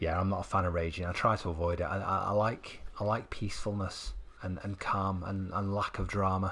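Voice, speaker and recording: A man's very deep, low voice in a Mancunian accent, flat and monotone, at a fairly quick pace. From northern England, Manchester. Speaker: gaming streamer. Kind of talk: live stream commentary. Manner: halting, repetitive.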